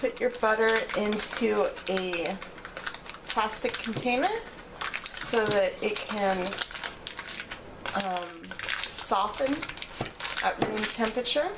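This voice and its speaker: Over loud background noise, a woman talks at a very slow pace. Her pitch variation is ordinary, and her pauses are long and frequent. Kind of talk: cooking tutorial. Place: kitchen.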